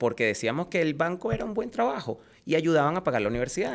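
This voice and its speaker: A man talks with a Venezuelan accent. His pace is very fast and his pitch fairly high. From Venezuela, Caracas. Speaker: insurance agent. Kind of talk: interview.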